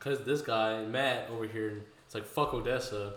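With an American accent, a man speaks at medium pitch with fairly even intonation, over noticeable background noise and audible room echo. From Houston, Texas. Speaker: podcast host. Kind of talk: casual chat.

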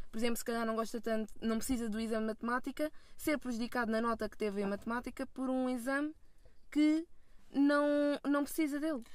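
Very fast, a woman speaks in a high-pitched voice. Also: ordinary pitch variation. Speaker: film student. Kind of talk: casual chat. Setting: in a car.

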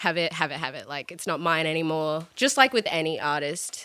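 A woman with an Australian accent, fairly low pitch and a bright, sharp tone at a moderate pace. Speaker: musician. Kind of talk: casual chat. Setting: studio.

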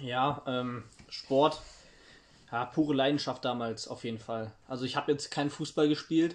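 Against a quiet background, a man with an ordinary speaking voice talks at a moderate pace. His medium-pitched voice has fairly even intonation. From East Germany, Halle. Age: 50s. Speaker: interviewee on East German youth. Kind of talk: interview.

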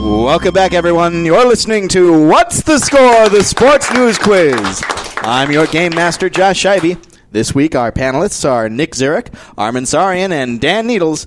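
Swinging very widely in pitch, a man with a high voice speaks at a moderate pace over noticeable background noise. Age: 20s. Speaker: quiz master. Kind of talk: game show hosting. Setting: studio.

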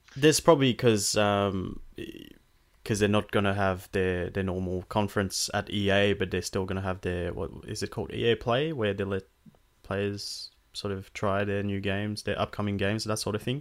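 An unremarkable speaking voice from a man with fairly low pitch, on a very clean recording with a silent background. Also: fairly even intonation, moderate pace. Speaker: podcast host. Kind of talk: casual chat.

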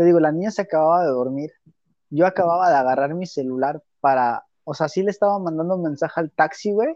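Here is a man with a normal speaking voice and fairly high pitch. He talks at a fairly quick pace with ordinary pitch variation. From Mexico. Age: 20s. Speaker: podcast co-host. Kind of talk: casual chat.

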